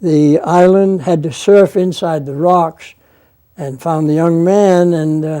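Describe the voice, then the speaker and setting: A man with a Maine accent talks at a very slow pace in a high pitch, his tone dark and mellow and his intonation fairly even. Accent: Maine New England. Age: 80s+. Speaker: former lighthouse keeper. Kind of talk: interview answer.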